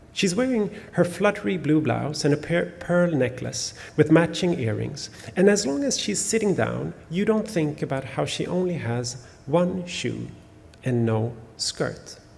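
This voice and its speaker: Speaking at a fairly slow pace with a Swedish accent, a man uses a fairly high pitch and lively intonation. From Sweden. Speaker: novelist. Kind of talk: author talk with reading aloud. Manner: halting, many fillers.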